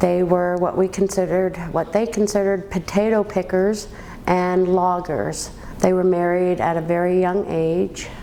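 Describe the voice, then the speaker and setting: Over noticeable background noise, a woman at medium pitch talks at a moderate pace in a monotone, flat intonation with very even loudness. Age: 50s. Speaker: woman telling her life story. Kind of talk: personal life story interview. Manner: halting, with many ums.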